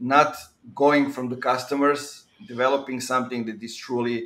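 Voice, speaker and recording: A man with a Serbian accent speaks in a bright, sharp tone. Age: 30s. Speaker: podcast host. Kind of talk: podcast interview. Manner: hesitant with frequent fillers. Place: home room.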